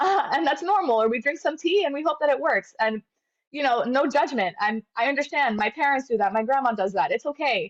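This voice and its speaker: Her high-pitched voice swings very widely as the woman moves at a fairly quick pace. The sound is dry and close with no echo. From Venezuela. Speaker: medical graduate. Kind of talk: interview.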